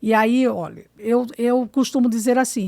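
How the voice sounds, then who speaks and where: A woman speaks in a high pitch, recorded with a dry, close sound with no echo, very clean with a silent background. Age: 60s. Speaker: education official and teacher. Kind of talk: podcast interview. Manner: emphatic, lecturing.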